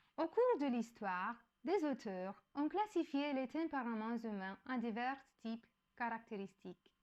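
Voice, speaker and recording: Speaking with a non-native accent, a woman talks at a fairly slow pace in a high pitch with lively intonation. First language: not French (speaking French). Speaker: educational YouTuber. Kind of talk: explanatory talk. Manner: halting, with self-corrections.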